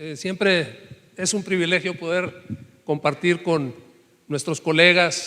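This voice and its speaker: This man's voice sits high in pitch. Its tone is bright and sharp. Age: 60s. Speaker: professor-researcher. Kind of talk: panel discussion.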